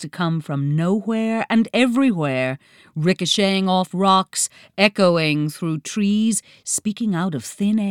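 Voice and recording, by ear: Someone reads aloud in a natural voice.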